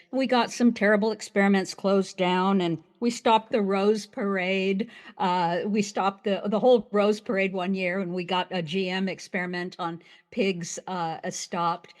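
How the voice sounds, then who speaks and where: Against a quiet background, a woman talks at a moderate pace with a medium pitch and fairly even intonation. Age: 60s. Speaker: priestess and museum founder. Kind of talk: interview. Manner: halting, with frequent repetitions.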